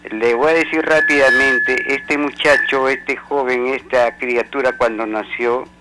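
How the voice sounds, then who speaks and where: With music in the background, a man at medium pitch speaks at a fairly slow pace with ordinary pitch variation and hardly any pauses. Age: 70s. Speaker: caller, out-of-court conciliator. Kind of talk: radio call-in.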